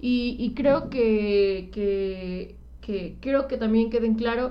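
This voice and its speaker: This woman's voice sits fairly high in pitch. The room echo is audible. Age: 20s. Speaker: podcast co-host. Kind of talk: casual chat. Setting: live stream.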